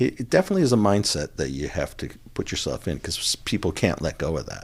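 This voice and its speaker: A man is speaking. His voice has vocal fry. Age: 60s. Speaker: meditation practitioner, former television freelancer. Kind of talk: podcast interview. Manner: halting, frequent restarts.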